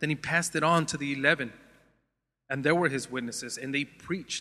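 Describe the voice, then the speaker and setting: A man with an American accent, fairly high in pitch and bright and sharp in tone, at a moderate pace with ordinary pitch variation. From Los Angeles area, US. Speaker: preacher. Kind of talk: sermon.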